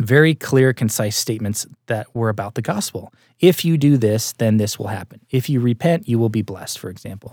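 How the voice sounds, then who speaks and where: An unremarkable speaking voice from a man moves at a fairly quick pace with lively intonation, the sound dry and close with no echo on a very clean recording over a silent background. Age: 30s. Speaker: TV and film producer. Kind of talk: interview.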